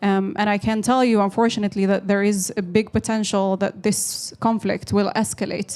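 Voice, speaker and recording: A woman with a medium pitch talks at a moderate speed. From Western Sahara refugee camps in Algeria. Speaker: political activist. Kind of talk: panel discussion. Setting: seminar.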